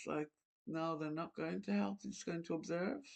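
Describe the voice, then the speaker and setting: A woman's very deep, low voice against a quiet background. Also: dry, close sound with no echo. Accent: Irish. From Ireland. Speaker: channel host talking to an AI voice. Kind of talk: casual chat.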